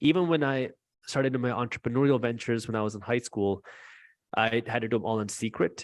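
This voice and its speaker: In an American accent, a man talks at a very fast pace and medium pitch with ordinary pitch variation. The sound is dry and close, with no echo. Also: quiet background. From US, child of Punjabi Indian immigrants. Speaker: finance YouTuber. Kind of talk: interview.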